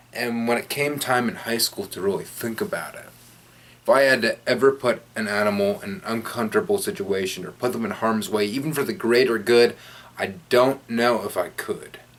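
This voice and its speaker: A man's voice at medium pitch, with ordinary pitch variation and a moderate pace. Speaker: radio host and youtuber. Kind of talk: personal storytelling vlog. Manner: animated.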